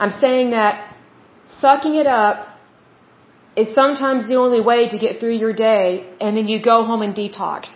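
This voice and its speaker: A woman with an unremarkable speaking voice talks at a moderate pace, fairly high in pitch and with fairly even intonation. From Oklahoma, US. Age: 30s. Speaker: podcast host. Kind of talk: solo podcast monologue, reading info and giving opinions. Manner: conversational, casual.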